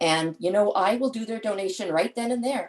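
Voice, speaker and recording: A woman's fairly high voice with very wide pitch swings. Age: 60s. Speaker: charity fundraiser, parent of patient. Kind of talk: webinar panel talk.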